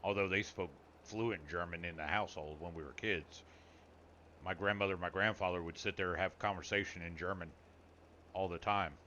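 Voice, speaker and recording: This man's voice sits very deep and low. The intonation remains fairly even. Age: 40s. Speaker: gaming streamer; army veteran. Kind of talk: live stream chat. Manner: casual.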